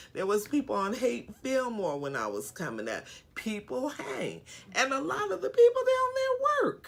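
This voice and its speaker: Noticeable background noise surrounds a woman talking at a moderate pace in an American accent. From San Francisco, California. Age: 60s. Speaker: homeless outreach worker. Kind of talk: interview.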